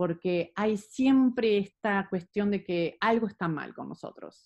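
A woman with a normal speaking voice talks at a fairly slow pace and a medium pitch, with ordinary pitch variation. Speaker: psychologist and movement therapist. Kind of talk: interview.

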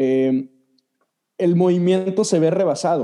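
Dark and mellow yet high in pitch, a man's voice shows ordinary pitch variation. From Mexico. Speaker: Methodist church leader. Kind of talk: casual chat.

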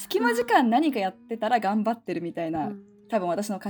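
This is a woman speaking at a medium pitch. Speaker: podcaster, mother. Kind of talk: casual chat. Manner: animated.

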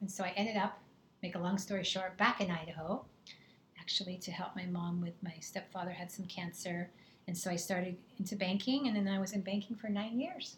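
A woman speaks at a medium pitch, somewhat breathy. Her intonation stays fairly even. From England, moved to San Diego at 11. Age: 50s. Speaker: health coach. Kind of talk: casual chat.

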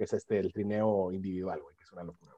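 A man is speaking. His tone is dark and mellow. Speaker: podcast co-host. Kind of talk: casual chat.

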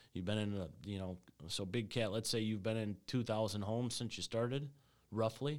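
A man with an unremarkable speaking voice talks at a fairly quick pace, fairly low in pitch with ordinary pitch variation, on a very clean recording with a silent background. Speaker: HVAC sales rep and podcast host. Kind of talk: casual podcast chat. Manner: casual, joking.

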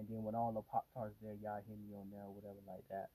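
A man's fairly low, dark and mellow voice with a relaxed tone, flat monotone intonation and an American accent. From Miami, Florida. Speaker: podcast host. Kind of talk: casual solo monologue. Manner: relaxed, filler-heavy.

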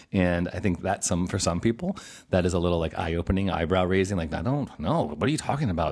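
A man talks at a very fast pace in a very deep, low voice. His tone is animated, with ordinary pitch variation. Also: quiet background. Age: 40s. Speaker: podcast host and pastor. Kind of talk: casual interview.

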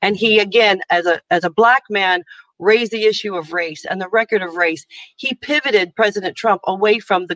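A woman's medium-pitched voice with a bright, sharp tone and an American accent, ordinary pitch variation, a fairly quick pace and a dry, close sound with no echo. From United States. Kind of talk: interview.

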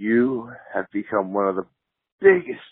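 A man with an American accent at a moderate pace. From Missouri, US. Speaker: fan. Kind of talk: recorded message.

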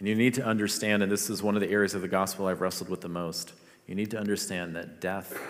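The man's voice is very deep and low, with fairly even intonation. Room echo is audible. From Philippines. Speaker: pastor. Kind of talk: sermon.

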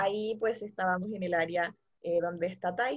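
Speaking at a fairly slow pace, a woman has a normal speaking voice. Her pitch variation is ordinary. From Santiago, Chile. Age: 20s. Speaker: returned missionary. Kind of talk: testimony.

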